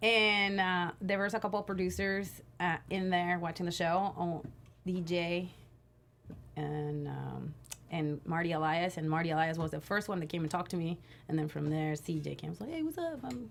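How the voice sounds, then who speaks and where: A woman with a Spanish accent talks in an animated tone at a fairly low pitch. Her pace is moderate, with ordinary pitch variation. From Mexico, Tijuana. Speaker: pro wrestler. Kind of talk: interview.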